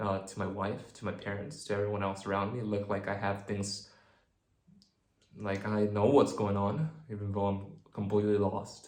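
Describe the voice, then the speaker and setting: Audible room echo surrounds a man with a fairly low pitch and fairly even intonation. He keeps a moderate pace with long, frequent pauses. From New Zealand. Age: 20s. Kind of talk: personal vlog monologue. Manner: halting.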